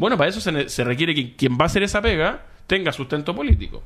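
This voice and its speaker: Very wide pitch swings from a man talking at a very fast pace. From Chile, Viña del Mar. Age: 30s. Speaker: foundation director, lawyer. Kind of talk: radio interview.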